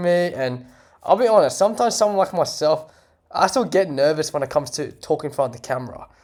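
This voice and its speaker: A man speaks with lively intonation at a fairly high pitch. The recording is very clean, with a silent background. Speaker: photographer and videographer vlogger. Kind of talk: casual talking-head vlog. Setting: talking to camera. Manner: trying to talk slower, some hesitations.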